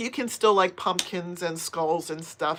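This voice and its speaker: It goes along at a fairly slow pace. What you hear is a plain, everyday voice. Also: woman. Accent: American. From US, Pennsylvania. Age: 50s. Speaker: crochet and knitting youtuber. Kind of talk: casual live stream chat reading viewer comments. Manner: chatty, conversational.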